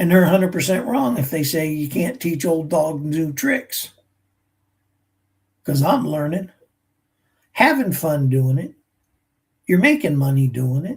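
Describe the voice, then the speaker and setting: A man talks at a fairly slow pace, leaving long, frequent pauses. His pitch is fairly high and his intonation lively. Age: 60s. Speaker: military veteran teaching AI skills. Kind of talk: live stream talk. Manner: animated.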